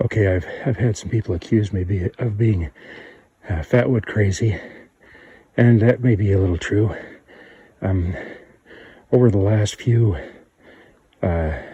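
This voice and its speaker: A man speaks with a dark, mellow, somewhat breathy tone. His pace is fairly slow, with long and frequent pauses. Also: fairly low pitch for a man, ordinary pitch variation. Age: 50s. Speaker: bushcraft vlogger. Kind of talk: outdoor tutorial. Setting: outdoors on a trail. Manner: halting, with fillers.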